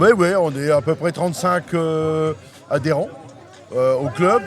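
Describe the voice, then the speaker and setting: At a moderate pace, a man with a fairly high pitch and ordinary pitch variation talks over noticeable background noise. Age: 60s. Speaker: sports club president. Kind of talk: casual interview.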